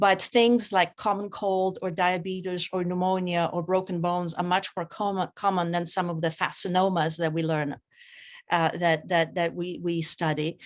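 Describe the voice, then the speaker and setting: Monotone, flat intonation at a moderate pace, with a Polish accent and a quiet background. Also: woman, fairly low pitch for a woman. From Poland. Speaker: author and clinical geneticist. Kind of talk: reading aloud; interview. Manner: halting.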